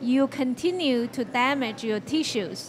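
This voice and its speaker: A woman speaks at a very slow pace with high pitch and fairly even intonation over light background noise. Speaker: guest. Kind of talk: interview answer. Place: studio. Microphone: handheld.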